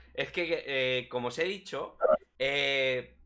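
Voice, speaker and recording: With a Spanish accent, a man is speaking. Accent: Peninsular Spanish. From Spain, small town. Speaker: crypto streaming show host; stream co-host interviewer. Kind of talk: casual live stream chat. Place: home room. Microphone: headset.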